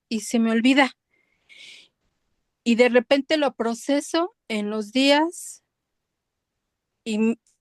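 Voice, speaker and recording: The recording is dry and close, without echo. A woman talks very slowly. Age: 60s. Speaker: student. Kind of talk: testimony. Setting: video call.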